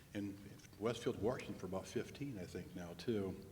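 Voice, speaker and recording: Audible room echo surrounds the voice. It belongs to a man with fairly low pitch. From Indiana, Fort Wayne. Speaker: demographer. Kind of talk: presentation. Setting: public meeting with audience.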